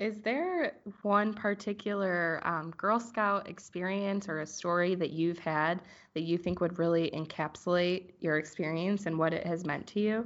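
Against a quiet background, a woman with a normal speaking voice talks at a fairly low pitch with fairly even intonation. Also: moderate pace. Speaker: podcast host. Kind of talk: interview.

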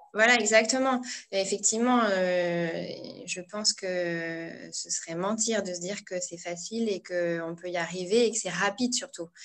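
Using an ordinary speaking voice, a woman talks at a fairly slow pace and medium pitch, with ordinary pitch variation. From northern France (Pas-de-Calais). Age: 30s. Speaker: blogger and entrepreneurship coach. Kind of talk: interview.

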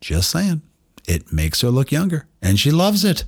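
A man at a fairly slow pace. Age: 50s. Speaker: doctor and podcast host. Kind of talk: casual monologue. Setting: home studio. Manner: animated.

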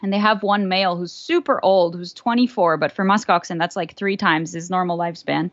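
A woman with a plain, everyday voice talks at medium pitch and a fairly quick pace, with ordinary pitch variation and hardly any pauses. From southern France, born in Florida. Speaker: neuroscience researcher. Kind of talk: interview, casual chat.

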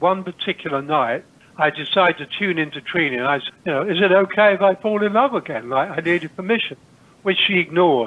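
A man with an East Anglian accent talks at a fairly quick pace in a high pitch, with lively intonation. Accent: English, rural East Anglian. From England, Cambridgeshire. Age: 70s. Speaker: spiritual teacher. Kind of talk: interview.

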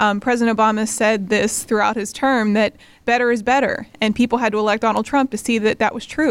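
A woman speaks with an American accent at a fairly quick pace. Her fairly high voice stays monotone and flat. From Western Pennsylvania (New Castle). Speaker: nonprofit co-founder, political organizer. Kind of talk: interview.

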